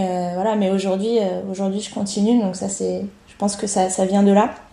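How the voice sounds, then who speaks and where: A woman's medium-pitched voice with a dark, mellow tone speaks in a flat monotone, with audible echo in the room. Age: 30s. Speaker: triathlete and coach. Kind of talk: casual interview.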